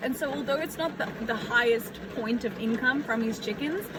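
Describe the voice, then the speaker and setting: A woman's voice amid noticeable background noise, with audible room echo. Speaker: aspiring farmer vlogger. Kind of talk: casual vlog talk. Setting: outdoors in the rain. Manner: loud; hesitant, many fillers.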